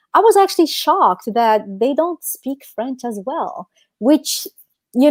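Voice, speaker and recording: At a fairly slow pace, a woman speaks with a North African accent in a dry, close sound with no echo. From Algeria. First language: Amazigh. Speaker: podcast co-host. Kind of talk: casual chat.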